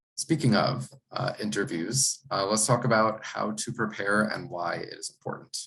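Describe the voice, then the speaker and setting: A man with a normal speaking voice and fairly low pitch talks at a moderate pace with lively intonation. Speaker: college admissions counselor. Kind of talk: presentation workshop.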